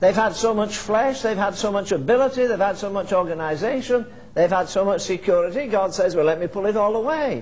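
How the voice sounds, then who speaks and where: A man with a high voice talks at a fairly quick pace with hardly any pauses and ordinary pitch variation, over noticeable background noise. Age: old. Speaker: preacher. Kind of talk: sermon. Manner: fervent.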